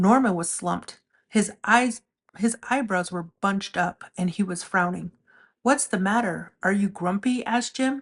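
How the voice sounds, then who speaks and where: Against a quiet background, a woman with a somewhat breathy, medium-pitched voice speaks at a fairly slow pace with ordinary pitch variation. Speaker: storyteller. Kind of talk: children's picture book read-aloud.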